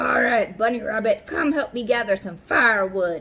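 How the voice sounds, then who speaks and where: A woman's put-on character voice, growling at a medium pitch and a moderate pace. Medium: read story. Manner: snarling, unfriendly.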